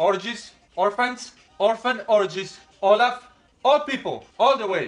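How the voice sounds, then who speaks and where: With a Colombian accent, a man speaks at an extremely high pitch with fairly even intonation. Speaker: husband, game player. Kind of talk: playful game talk, loud guessing. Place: home room. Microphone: camera far.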